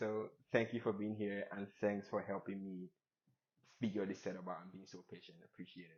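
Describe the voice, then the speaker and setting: A man speaks with a non-native accent and a fairly low pitch. His pace is moderate and his intonation fairly even. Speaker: podcast host. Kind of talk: casual interview chat. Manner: hesitant, many fillers.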